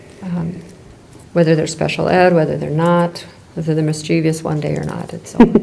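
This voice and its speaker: A woman with a very deep, low pitch speaks at a fairly quick pace in a monotone, flat intonation, with audible room echo and noticeable background noise. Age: 60s. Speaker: school leader. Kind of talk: board meeting discussion. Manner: halting, many fillers.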